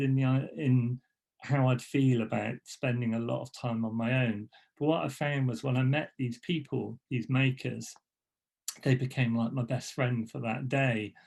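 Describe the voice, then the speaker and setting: Somewhat breathy, the speaker talks at a moderate pace with ordinary pitch variation. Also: man. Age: 60s. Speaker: graphic designer and letterpress printer. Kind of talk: presentation talk. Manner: halting, many fillers and restarts.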